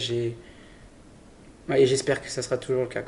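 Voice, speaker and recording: A man speaks at a fairly quick pace with a medium pitch. His tone is dark and mellow, and his intonation stays monotone and flat. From Brittany, France (Saint-Malo). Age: 20s. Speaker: adventurer. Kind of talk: interview. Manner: halting, with repetitions.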